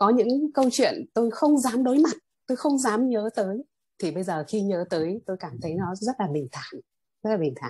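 A woman speaks at a moderate pace with a fairly high pitch and very wide pitch swings. Her tone is dark, mellow, and somewhat breathy. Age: 50s. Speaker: meditation student, teacher. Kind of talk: testimony.

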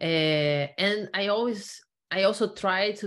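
A woman with a Portuguese accent and ordinary pitch variation. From Brazil. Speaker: knowledge management consultant, former computer science researcher. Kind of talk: interview.

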